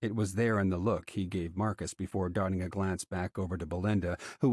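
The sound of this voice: An unforced reading voice, its intonation fairly even.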